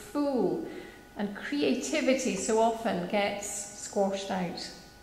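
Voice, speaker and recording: Amid light background noise and audible room echo, a woman with fairly high pitch talks at a very slow pace with ordinary pitch variation. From Scotland. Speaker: minister. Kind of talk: church reflection / sermon. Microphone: podium.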